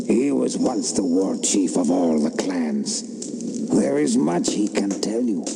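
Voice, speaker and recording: Over loud background noise, a man puts on a character voice and speaks at a fairly slow pace. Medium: machinima. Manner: grave.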